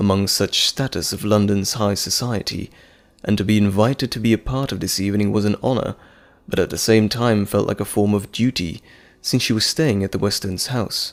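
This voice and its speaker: At a fairly quick pace, a man with an ordinary speaking voice and fairly low pitch talks with fairly even intonation in a very clean recording with a silent background. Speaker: voice actor. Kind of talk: audio drama narration.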